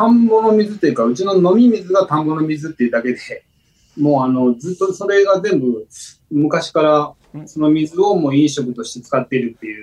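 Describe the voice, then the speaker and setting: A man at a fairly high pitch, with lively intonation and a fairly quick pace. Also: big swings in loudness. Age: 50s. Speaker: rice farmer. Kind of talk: interview. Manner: halting.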